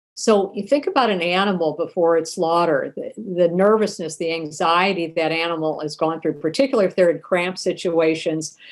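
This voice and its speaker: A woman with an ordinary speaking voice talks at a fairly low pitch, at a fairly quick pace with hardly any pauses. Her pitch varies in an ordinary way on a very clean recording with a silent background. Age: 60s. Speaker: human rights advocate and author. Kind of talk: podcast interview.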